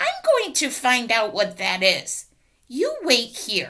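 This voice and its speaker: At a fairly slow pace, a female-sounding, high-pitched put-on character voice speaks. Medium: read story. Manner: friendly, easygoing.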